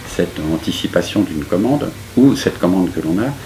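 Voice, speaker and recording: Through noticeable background noise, a man's very deep, low voice carries lively intonation. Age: 70s. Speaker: architect. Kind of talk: interview. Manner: hesitant, many fillers.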